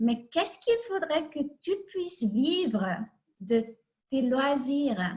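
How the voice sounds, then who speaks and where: A woman with a Hungarian accent speaks at a very slow pace, leaving long, frequent pauses. Her high voice swings very widely in pitch. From Hungary. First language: Hungarian (speaking French). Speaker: life coach. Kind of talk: online talk. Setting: video call. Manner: halting.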